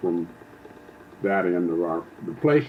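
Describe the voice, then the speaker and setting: A man talks with ordinary pitch variation. Noticeable noise sounds behind him. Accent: American. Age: 70s. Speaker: elderly father recounting family history. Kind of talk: oral history interview. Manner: halting, many fillers and restarts.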